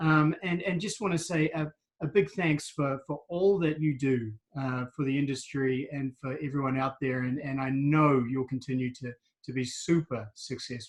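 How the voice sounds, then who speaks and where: With a New Zealand accent, a man talks at a moderate pace in a fairly high, somewhat breathy voice. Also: ordinary pitch variation. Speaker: wellbeing coach and interviewer. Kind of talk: interview.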